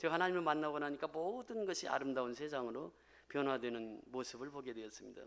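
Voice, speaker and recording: Very fast speech with lively intonation. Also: man. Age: 60s. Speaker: pastor. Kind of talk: testimony.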